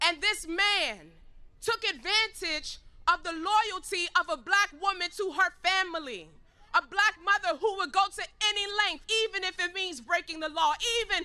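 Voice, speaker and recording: A woman with an American accent projects a raised, extremely high voice with a bright, sharp tone, moving at a moderate pace with ordinary pitch variation. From Harlem, New York. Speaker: activist speaker. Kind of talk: rally speech. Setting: outdoor rally with crowd. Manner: animated.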